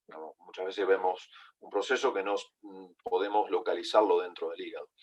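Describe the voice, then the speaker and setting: His delivery is fairly quick. The man's volume goes from soft to loud in big jumps. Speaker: veterinary pathology lecturer. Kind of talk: online lecture. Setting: online video call. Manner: halting, with fillers and repetitions.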